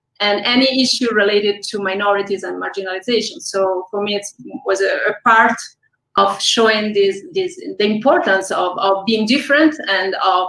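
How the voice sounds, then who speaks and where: At a moderate pace, a woman with an Italian accent speaks at medium pitch with ordinary pitch variation. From Italy. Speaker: film director. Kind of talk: interview.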